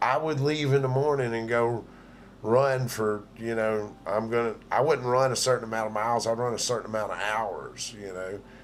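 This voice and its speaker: A man speaks with fairly even intonation. Audible room echo surrounds the voice. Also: medium pitch for a man, moderate pace. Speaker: livestream host. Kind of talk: casual chat.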